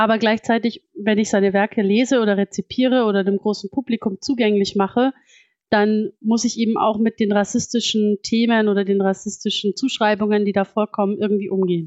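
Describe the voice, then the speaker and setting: Her pitch fairly high, a woman talks at a fairly quick pace. The intonation is monotone and flat, and the loudness very even. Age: 30s. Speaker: psychologist and fantasy author. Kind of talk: interview.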